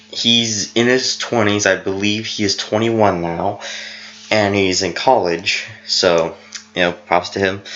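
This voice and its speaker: A man talks at a fairly slow pace with fairly even intonation and a fairly low pitch. Noticeable background noise sits behind him. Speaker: family history vlogger. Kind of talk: unscripted presentation narration. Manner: halting, self-correcting.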